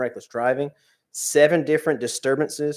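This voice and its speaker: A man talks at a very fast pace in a monotone, flat intonation. The recording is very clean, with a silent background. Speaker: police officer giving monthly report. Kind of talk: report to town council. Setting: town council meeting.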